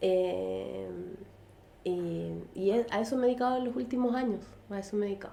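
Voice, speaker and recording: Speaking in a Chilean accent at a fairly quick pace with long, frequent pauses, the voice comes through noticeable background noise and audible room echo. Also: woman. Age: 40s. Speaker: artist and illustrator. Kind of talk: casual interview chat. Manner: halting, many fillers.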